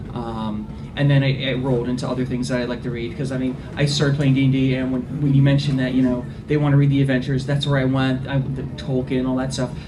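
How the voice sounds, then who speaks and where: This man speaks very fast in a monotone, flat delivery at a medium pitch. Noticeable background noise and audible room echo fill the recording. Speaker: librarian on a convention panel. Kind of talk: panel discussion.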